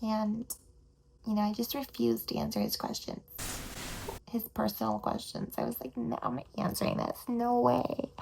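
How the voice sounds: A woman's put-on character voice, fairly high-pitched and slightly mellow, with vocal fry, big pitch swings and a moderate pace.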